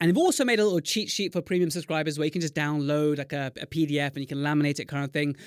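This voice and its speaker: Speaking at a very fast pace, a man sounds animated and enthusiastic, with ordinary pitch variation and a dry, close recording free of echo. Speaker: podcast host, dentist. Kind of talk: casual interview chat. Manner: animated, enthusiastic.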